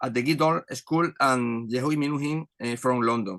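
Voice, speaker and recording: With a Spanish accent, a man talks fairly quickly in a bright, sharp tone with ordinary pitch variation and a dry, close sound with no echo. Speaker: orchestra conductor. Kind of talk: reading aloud. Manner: halting.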